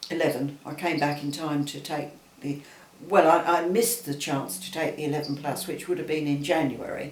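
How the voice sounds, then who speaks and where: In a Southeast England accent, a man with a fairly high pitch and ordinary pitch variation talks at a fairly quick pace over noticeable background noise and audible room echo. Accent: London (southeast England). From Southeast London. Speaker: interviewee recalling childhood. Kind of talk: casual chat. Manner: halting.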